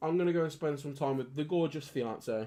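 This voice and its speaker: Against a quiet background, a man is talking. His pace is moderate and his pitch varies in an ordinary way. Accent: Birmingham. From Birmingham, England. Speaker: gaming streamer. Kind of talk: casual live-stream chat.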